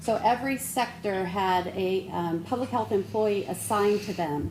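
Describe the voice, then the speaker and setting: Noticeable background noise and audible room echo accompany a woman speaking with ordinary pitch variation. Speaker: public health official. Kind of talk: presentation to city council. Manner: soft-spoken. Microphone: too quiet.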